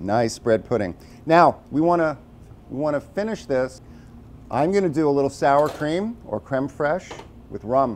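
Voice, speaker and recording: A man speaks with an American accent and lively intonation at a fairly slow pace. Long, frequent pauses break up his speech over light background noise. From New York City (Brooklyn); New York City. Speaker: chef. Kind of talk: tutorial. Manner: casual. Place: kitchen. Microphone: lapel.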